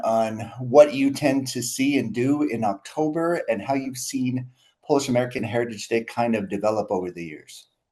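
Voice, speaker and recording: In a normal speaking voice, a man with a medium pitch talks at a fairly quick pace with ordinary pitch variation. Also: hardly any pauses. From US, Milwaukee. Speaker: podcast host. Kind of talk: interview conversation.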